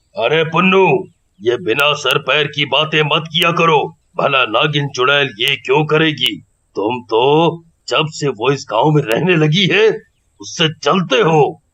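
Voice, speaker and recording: A cartoonish character voice from a man, fairly high in pitch, with ordinary pitch variation, a fairly slow pace and very even loudness. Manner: authoritative.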